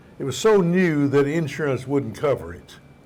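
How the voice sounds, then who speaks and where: Audible room echo surrounds this recording. A man speaks at a fairly slow pace with a fairly high pitch. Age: 80s+. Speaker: pastor and ministry teacher. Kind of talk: sermon. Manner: conversational storytelling, humorous.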